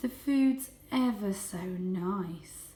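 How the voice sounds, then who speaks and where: In a put-on character voice, a woman speaks at a medium pitch. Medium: read story.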